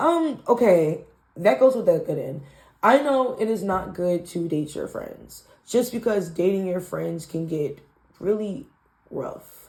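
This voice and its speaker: Somewhat breathy, a woman speaks with very wide pitch swings. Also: medium pitch for a woman, fairly slow pace. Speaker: tarot reader. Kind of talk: tarot reading. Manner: casual, rambling with fillers.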